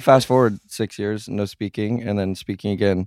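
A man with an ordinary speaking voice and a fairly low pitch talks at a moderate pace with fairly even intonation. The recording is very clean and silent behind him, with a dry, close sound and no echo. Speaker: guest. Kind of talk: casual chat.

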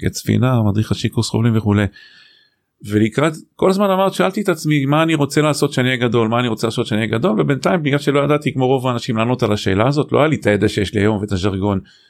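The recording is very clean, with a silent background and very even loudness. The delivery is very fast, with lively intonation. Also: man, medium pitch for a man. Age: 50s. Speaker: executive coach and author. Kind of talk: casual interview.

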